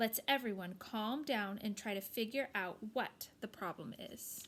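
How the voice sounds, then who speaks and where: Using a put-on character voice, a woman speaks at a fairly high pitch. Background noise is clearly heard. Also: moderate pace. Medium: read story.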